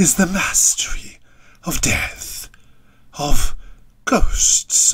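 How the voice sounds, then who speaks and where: This is a put-on character voice done in a whisper. The pace is very slow. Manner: gleeful.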